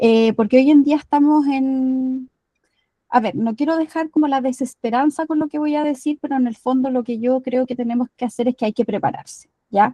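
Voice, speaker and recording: A woman with a Chilean accent, high-pitched yet dark and mellow in tone, at a moderate pace with fairly even intonation, in a dry, close sound with no echo. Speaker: climate activist. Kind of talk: lecture.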